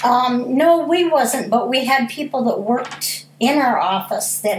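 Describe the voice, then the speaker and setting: The speaker goes at a fairly slow pace with ordinary pitch variation. Audible room echo surrounds the voice. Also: woman. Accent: American. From US Midwest, Pontiac, Michigan. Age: 60s. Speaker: school food service worker. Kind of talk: interview.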